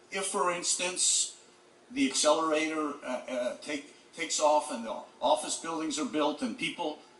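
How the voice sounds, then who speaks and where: A man talks at a high pitch with very wide pitch swings. Noticeable background noise sits behind him. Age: 60s. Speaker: real estate developer. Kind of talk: public hearing testimony. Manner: halting.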